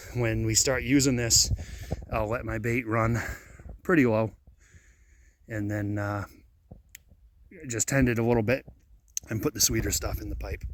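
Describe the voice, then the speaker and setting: This man's voice has vocal fry and ordinary pitch variation. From Downeast Maine. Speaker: registered hunting guide and trapper. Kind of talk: instructional talk to camera. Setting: outdoors.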